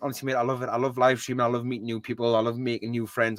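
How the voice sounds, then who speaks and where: The speaker has a strong Geordie accent. The sound is dry and close, with no echo. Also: man. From northeast England (Newcastle area). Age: 20s. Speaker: gaming streamer. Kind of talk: casual chat. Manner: fast; animated.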